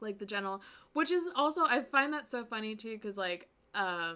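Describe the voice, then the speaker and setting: A woman speaks with an American accent and a fairly high pitch. Her tone is bright and sharp, and her intonation is lively. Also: very clean recording, silent background. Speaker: streamer. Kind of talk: casual chat.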